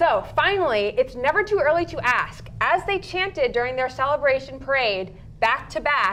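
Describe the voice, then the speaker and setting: Upbeat and enthusiastic, a woman speaks at a moderate pace with very wide pitch swings. Noticeable background noise can be heard. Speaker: sports talk show anchor and analyst. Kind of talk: live sports talk show commentary, energetic analysis. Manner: upbeat, enthusiastic.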